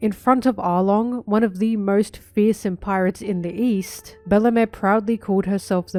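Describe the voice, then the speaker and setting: A woman at a medium pitch, fairly even in intonation, with music in the background. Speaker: anime video essayist. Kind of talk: video essay narration.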